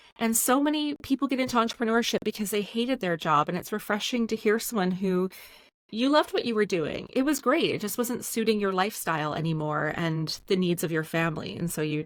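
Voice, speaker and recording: A woman with a Canadian accent talks fairly quickly in a normal speaking voice, at a medium pitch with lively intonation. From Canada, Edmonton. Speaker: podcast host. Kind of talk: casual interview chat.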